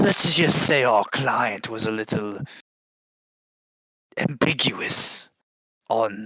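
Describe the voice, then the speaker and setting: A man's put-on character voice at a very slow pace. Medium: actual play. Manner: casual, wisecracking.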